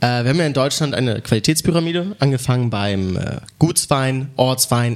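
This is a normal speaking voice, a man's at medium pitch. He moves at a fairly quick pace with lively intonation. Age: young. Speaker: sommelier. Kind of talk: wine tasting commentary. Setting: wine club venue.

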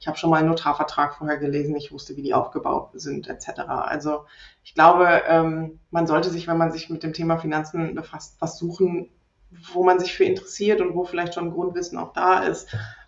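A woman with a fairly low pitch talks fairly quickly in a monotone, flat intonation, with big swings in loudness. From Rhineland, Germany. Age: 30s. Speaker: property investor and landlord. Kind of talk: podcast interview.

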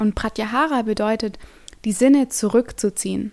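A woman has a plain, everyday voice, fairly high in pitch with ordinary pitch variation. The recording is very clean, with a silent background. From Stuttgart, Germany. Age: 20s. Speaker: yoga teacher. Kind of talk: podcast monologue.

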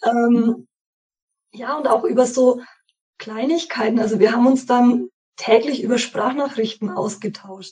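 Pausing long and often, a woman speaks at a fairly slow pace. Her high voice has a dark, mellow tone and ordinary pitch variation. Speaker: course participant. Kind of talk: interview.

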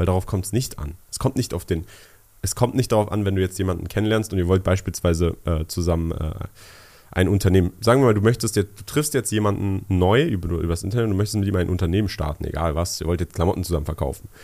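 A man's very deep, low voice with a dark, mellow tone, at a very fast pace, on a very clean recording with a silent background. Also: ordinary pitch variation. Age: 20s. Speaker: podcast co-host, young entrepreneur. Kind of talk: casual chat.

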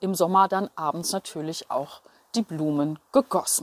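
The woman's voice comes through with a dry, close sound with no echo on a very clean recording with a silent background. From Berlin, Germany. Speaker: journalist and radio presenter. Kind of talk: devotional monologue.

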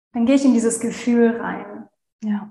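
A woman's fairly high, monotone voice with flat intonation at a fairly slow pace, amid audible room echo. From Germany, Hannover. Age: 30s. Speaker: virtual assistant. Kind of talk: interview, personal story.

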